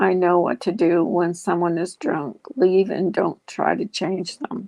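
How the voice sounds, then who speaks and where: A woman puts on a raspy character voice, fairly low in pitch, speaking at a fairly slow pace with ordinary pitch variation. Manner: angry, bitter.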